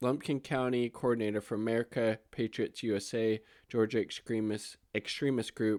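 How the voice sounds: The natural reading voice keeps its intonation fairly even.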